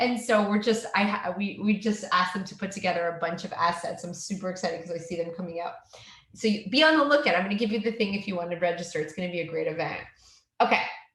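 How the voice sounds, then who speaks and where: A woman with a slight Canadian accent talks at a very fast pace amid noticeable background noise and audible room echo. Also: medium pitch for a woman, ordinary pitch variation. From Canada. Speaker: educational technology trainer. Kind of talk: tutorial.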